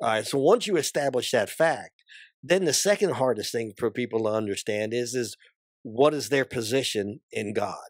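A man with an American accent speaks at a moderate pace and medium pitch with lively intonation, in a very clean recording with a silent background and a dry, close sound with no echo. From New Jersey, New York City area. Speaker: pastor and army veteran. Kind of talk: casual interview and Bible discussion. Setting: studio.

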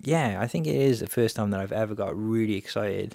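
An unremarkable speaking voice, a man's at fairly low pitch with ordinary pitch variation, moves at a fairly quick pace in a very clean recording with a silent background. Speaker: podcast host, photographer and filmmaker. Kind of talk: solo podcast monologue.

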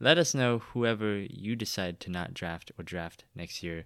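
A man with a fairly low pitch speaks very slowly and with lively intonation. The recording is very clean, with a silent background. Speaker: fantasy football podcast host. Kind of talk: casual chat.

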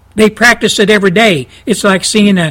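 A man speaks with a Texan accent. His pitch is high, with ordinary pitch variation. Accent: Texan Southern US. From Texas. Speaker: talk radio host. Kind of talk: fiery conservative radio rant. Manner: indignant, hammering and repetitive; folksy storytelling with laughs.

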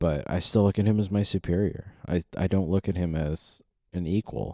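With a very deep, low pitch and a dark, mellow tone, a man speaks with fairly even intonation on a very clean recording with a silent background, dry and close with no echo. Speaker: solo podcast host. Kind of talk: casual solo monologue. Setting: home studio with microphone and headphones.

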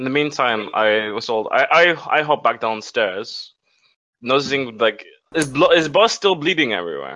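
Speaking at a moderate pace, a man with a medium pitch uses lively intonation and a bright, sharp tone touched by vocal fry. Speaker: tabletop game player. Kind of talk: casual tabletop roleplaying game session.

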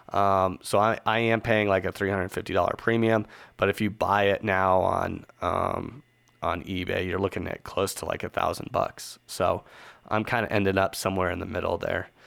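The intonation is monotone and flat at a moderate pace. The recording is very clean, with a silent background. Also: man, fairly low pitch for a man. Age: 30s. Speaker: podcast host. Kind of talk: solo podcast monologue. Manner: casual, filler-heavy.

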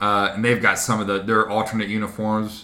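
Bright, sharp tone at a very fast pace, with audible room echo. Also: man. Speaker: podcast co-host. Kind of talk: casual chat.

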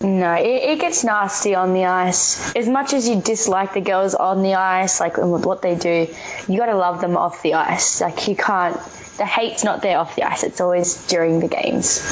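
Over noticeable background noise, a woman with an Australian accent speaks at a moderate pace with ordinary pitch variation. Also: medium pitch for a woman. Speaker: ice hockey player and coach. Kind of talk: radio interview. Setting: studio.

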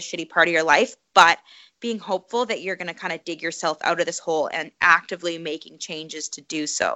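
A woman with a Canadian accent has an unremarkable speaking voice, talking at a fairly quick pace with ordinary pitch variation. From Canada, Calgary. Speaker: professional obstacle course racer and running coach. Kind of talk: interview conversation.

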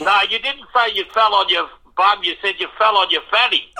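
A man projects a raised voice with a bright, sharp tone and high pitch, speaking at a moderate pace. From Melbourne, Australia. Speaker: radio show caller, fan. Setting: phone. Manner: enthusiastic.

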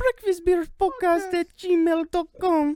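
This put-on character voice sits at an extremely high pitch.

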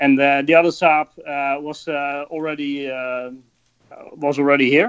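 A man with a Dutch accent speaks at medium pitch in a monotone, flat intonation. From Netherlands. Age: 30s. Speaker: rally driver. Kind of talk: casual interview.

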